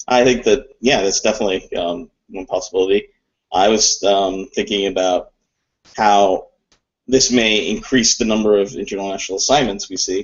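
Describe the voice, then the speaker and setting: A man speaks with a Mid-Atlantic accent at a moderate pace, his fairly low voice keeping a fairly even intonation. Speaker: co-founder and co-host of business chat show. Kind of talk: casual chat.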